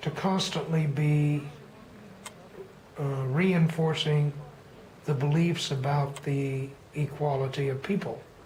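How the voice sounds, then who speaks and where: The speaker has an American accent. The pace is very slow, with long, frequent pauses. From Texas. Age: 60s. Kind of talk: personal storytelling monologue.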